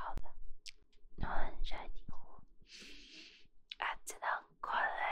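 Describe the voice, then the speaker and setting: Whispering at a very slow pace. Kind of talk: ASMR. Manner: whispered.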